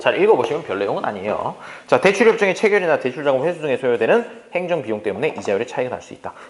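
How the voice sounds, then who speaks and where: Talking at a very fast pace, a man with a fairly high pitch makes very wide pitch swings and big swings in loudness. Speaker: economics lecturer. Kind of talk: lecture.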